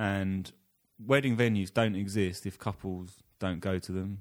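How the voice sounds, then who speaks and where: A man with an English accent talks at a fairly low pitch in a flat monotone. The recording is very clean, with a silent background. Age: 20s. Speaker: podcast co-host. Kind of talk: casual chat.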